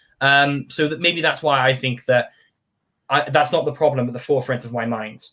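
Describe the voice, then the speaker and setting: Speaking at a very fast pace, a man with a British accent keeps his intonation fairly even. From United Kingdom. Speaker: community group founder. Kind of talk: casual interview chat.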